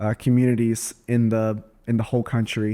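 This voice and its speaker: In a Southern US accent, the voice moves at a moderate pace with a dark, mellow tone and flat, monotone intonation on a very clean recording with a silent background. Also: man. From US South. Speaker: real estate agent and podcast host. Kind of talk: casual chat; podcast outro.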